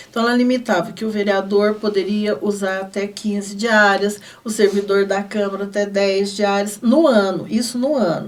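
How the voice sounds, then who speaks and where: Over noticeable background noise, a woman talks at a moderate pace with fairly even intonation and hardly any pauses. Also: medium pitch for a woman. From Brazil, southern Minas Gerais (Guaxupé). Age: 60s. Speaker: city councillor. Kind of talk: TV interview. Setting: studio.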